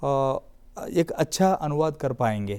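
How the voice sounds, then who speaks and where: The voice carries a dark, mellow tone with a Telangana accent. It comes through in a very clean recording with a silent background. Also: man. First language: Telugu (speaking Hindi). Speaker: literary academy official. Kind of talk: TV panel discussion. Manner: halting.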